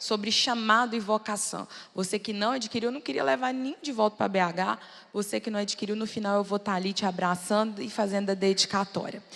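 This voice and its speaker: Here a woman talks at a medium pitch. Her pitch varies in an ordinary way. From Brazil, Belo Horizonte. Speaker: preacher. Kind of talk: sermon. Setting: church with audience.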